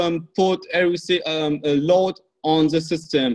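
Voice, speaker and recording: A man talks fairly slowly, his intonation staying fairly even. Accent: non-native. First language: not English. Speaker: off-grid energy hobbyist. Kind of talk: group video call discussion. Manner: halting, many fillers.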